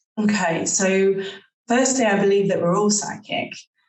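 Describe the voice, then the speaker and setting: A woman speaks with fairly even intonation. There is audible echo from the room. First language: not English. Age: 30s. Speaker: psychic. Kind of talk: interview.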